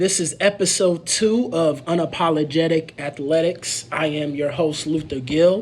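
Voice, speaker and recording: Amid noticeable background noise, a man with an American accent speaks at a high pitch with ordinary pitch variation and hardly any pauses. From Indianapolis, Indiana (east side). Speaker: sports podcast host. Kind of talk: solo sports podcast commentary. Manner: halting, many fillers.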